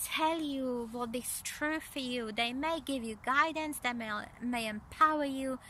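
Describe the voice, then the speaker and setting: A woman projects her raised voice at a high pitch, her tone bright and sharp. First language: not English. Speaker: energy psychology coach. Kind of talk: spiritual coaching talk to camera. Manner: halting, many fillers and repeats.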